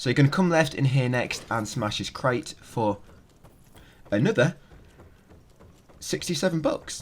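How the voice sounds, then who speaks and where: Somewhat breathy and fairly high in pitch, a man talks at a fairly slow pace with lively intonation and long, frequent pauses. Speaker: gaming video guide creator. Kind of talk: game walkthrough commentary.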